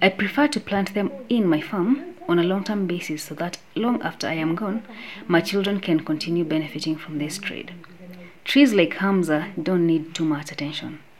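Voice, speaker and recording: A woman with a fairly low-pitched voice speaks against noticeable background noise. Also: ordinary pitch variation, moderate pace. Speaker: smallholder farmer. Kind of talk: interview testimony.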